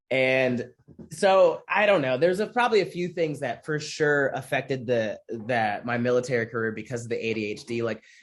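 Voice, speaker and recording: The speaker uses an American accent with lively intonation. The pace is fairly quick, and the background is quiet. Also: man, medium pitch for a man. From US Midwest (Michigan). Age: 20s. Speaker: comedian and military veteran. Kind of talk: interview. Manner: casual, halting with restarts.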